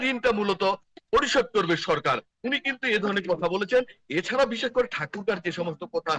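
A man with a bright, sharp tone and lively intonation, in a dry, close sound with no echo. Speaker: field reporter. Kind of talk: live news report. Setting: outdoors at a market. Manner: halting.

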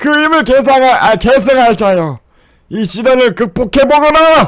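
A woman puts on a character voice pitched high. She speaks at a fairly slow pace with lively intonation. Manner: solemn, strained.

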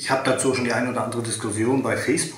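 A man is speaking. His voice carries audible room echo. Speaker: car enthusiast youtuber. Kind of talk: casual vlog chat. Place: home room.

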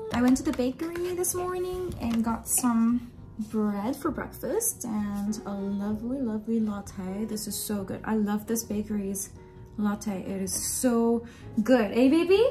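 Over clear background music, a woman with a fairly high pitch speaks at a fairly slow pace. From Japan. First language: Japanese. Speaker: vlogger. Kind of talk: casual vlog talk to camera. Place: home room. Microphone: phone near.

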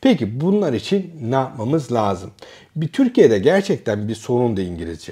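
A man's dark, mellow, somewhat breathy voice at a moderate pace, with very wide pitch swings over a quiet background. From Turkey. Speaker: academic and educational youtuber; educational youtuber. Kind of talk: casual educational monologue. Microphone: lapel.

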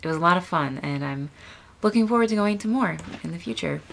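The speaker is a woman with lively intonation. She keeps a fairly quick pace. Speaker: vlogger. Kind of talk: casual vlog chat. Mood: friendly, smiling. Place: home room. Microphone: webcam.

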